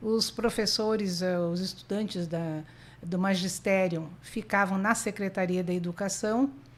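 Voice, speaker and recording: A woman speaks with a southern Brazilian accent at a fairly slow pace, her intonation fairly even. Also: medium pitch for a woman. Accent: gaúcho accent, kept. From southern Brazil (Rio Grande do Sul). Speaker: lawyer. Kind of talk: podcast interview.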